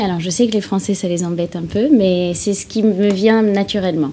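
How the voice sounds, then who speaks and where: Over noticeable background noise, the speech proceeds at a moderate pace. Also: woman. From English-speaking, raised in France from age six. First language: English (speaking French). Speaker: singer. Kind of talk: TV interview.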